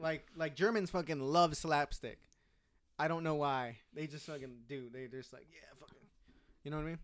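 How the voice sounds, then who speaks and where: A man with an American accent speaks at a moderate pace in a fairly high voice. His pitch varies in an ordinary way, while his loudness swings widely. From Southern California, Orange County. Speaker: comedian. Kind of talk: casual chat. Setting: home room.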